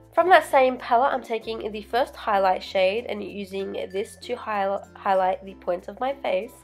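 With music in the background, a woman with an Australian accent talks with hardly any pauses and ordinary pitch variation. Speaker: makeup artist. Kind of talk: makeup tutorial voiceover.

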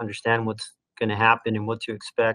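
Bright, sharp tone from a man at a moderate pace against a quiet background. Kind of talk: lecture. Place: home room. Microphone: webcam.

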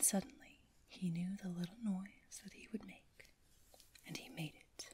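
A whisper delivered at a very slow pace, soft-spoken throughout. Light background noise sits behind it. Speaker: ASMR storyteller. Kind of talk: ASMR bedtime story reading. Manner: soft-spoken, whispery. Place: home room.

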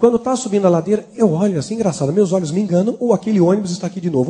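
Talking at a very fast pace, a man uses a high pitch and a dark, mellow tone. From São Paulo, Brazil. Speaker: former satanist giving a testimony; preacher giving testimony. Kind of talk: testimony. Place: church. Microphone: handheld.

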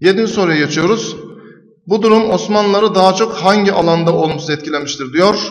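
Ordinary pitch variation and moderate pacing from a male speaker. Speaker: teacher. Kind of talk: tutorial explaining exam answers. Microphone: webcam.

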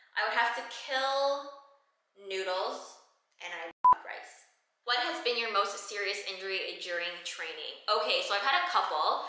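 A woman's fairly high voice with very wide pitch swings at a fairly slow pace, with audible room echo and light background noise. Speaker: fitness trainer and content creator. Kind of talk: Q&A vlog. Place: gym.

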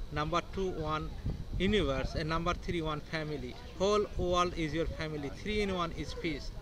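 A man with a fairly high pitch speaks with fairly even intonation amid noticeable background noise. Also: moderate pace, dry sound with no echo. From India. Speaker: rock balancing artist, Reiki master. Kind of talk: interview answer. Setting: outdoors. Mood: calm, earnest, spiritual. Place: street. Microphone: phone near.

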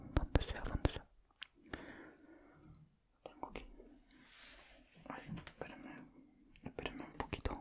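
Whispering at a fairly slow pace. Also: man. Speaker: ASMR creator. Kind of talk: casual talk to camera, ASMR whisper chat. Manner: whispered, soft-spoken. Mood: happy, pleased. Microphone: studio mic.

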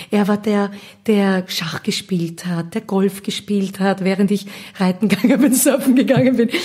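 Noticeable background noise sits under a woman who talks at a medium pitch, her pitch varying in an ordinary way. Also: moderate pace. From Austria, Vienna area (Gablitz). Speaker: singer and musical actress. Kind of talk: casual interview. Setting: at her home in Gablitz.

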